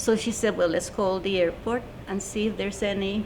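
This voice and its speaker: A woman's medium-pitched voice rings out with audible echo from the room. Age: 70s. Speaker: UFO witness. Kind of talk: testimony.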